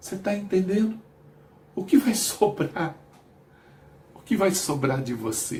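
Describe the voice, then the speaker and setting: A man with a high voice speaks fairly slowly, leaving long, frequent pauses. His pitch swings very widely. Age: 60s. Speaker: missionary preacher. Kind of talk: sermon.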